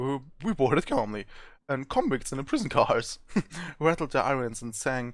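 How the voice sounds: Simply a natural reading voice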